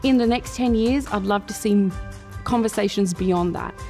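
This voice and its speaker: Faint music plays in the background as a woman talks with an Australian accent. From Perth, Western Australia. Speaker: spoken word poet and performer. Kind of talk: interview answer. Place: hall.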